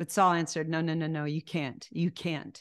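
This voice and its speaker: Against a quiet background, a woman with a fairly low pitch speaks in an animated tone. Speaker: Bible teacher. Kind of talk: sermon. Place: home room. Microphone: studio mic.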